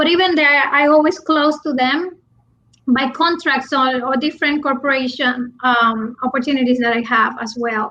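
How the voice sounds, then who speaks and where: A woman with a Puerto Rican accent projects a raised voice, high in pitch with ordinary pitch variation. Her tone is bright and sharp. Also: moderate pace. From Puerto Rico. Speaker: business coach. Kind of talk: interview. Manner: halting, many restarts.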